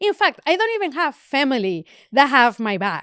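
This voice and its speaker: In a very clean recording with a silent background, a woman speaks at a high pitch, the sound dry and close with no echo. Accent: Spanish. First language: Spanish. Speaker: photographer. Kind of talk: casual chat. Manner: halting, repetitive fillers.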